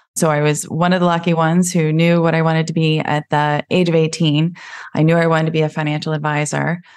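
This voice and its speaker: A woman with a very deep, low pitch speaks at a very fast pace in a monotone, flat intonation with very even loudness against a quiet background. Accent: American. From US, Pennsylvania. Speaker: financial planner. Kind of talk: podcast interview.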